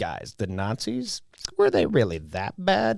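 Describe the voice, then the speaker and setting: A man's put-on character voice, whiny and medium in pitch, at a fairly slow pace. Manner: whining, mocking.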